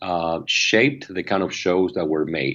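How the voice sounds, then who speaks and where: Speaking at a fairly slow pace, a man talks with a Spanish accent. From Argentina. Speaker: media company founder and CEO. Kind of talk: interview. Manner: halting, many fillers and repetitions.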